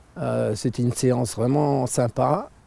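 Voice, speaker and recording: This man has a dark, mellow tone at medium pitch. His pitch varies in an ordinary way. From France, Alsace. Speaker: vlogger. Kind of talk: casual vlog monologue. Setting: outdoors in nature, cold. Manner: hesitant, many fillers.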